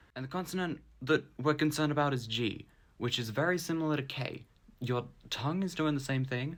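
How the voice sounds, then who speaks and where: On a very clean recording with a silent background, a man speaks at a moderate pace with a fairly high pitch and ordinary pitch variation. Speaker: music producer, sound designer. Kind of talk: tutorial.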